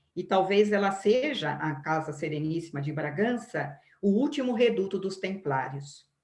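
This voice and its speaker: Somewhat breathy, a woman talks at a fairly slow pace with lively intonation. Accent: Brazilian. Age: 60s. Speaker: biography lecturer. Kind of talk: lecture. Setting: live stream. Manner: halting.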